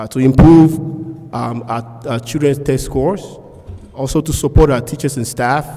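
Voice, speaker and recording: A man talks at a moderate pace in a flat, monotone delivery at a medium pitch, with noticeable background noise behind him. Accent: non-native. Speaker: school board candidate, pharmacist. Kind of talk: candidate forum speech.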